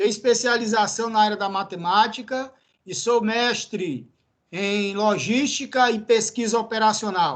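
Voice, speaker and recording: A high-pitched man with a Ceará accent speaks at a fairly slow pace and with fairly even intonation. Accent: Northeastern Brazilian (cearense). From Brazil, Ceará (Northeast). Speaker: university professor. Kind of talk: lecture. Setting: classroom.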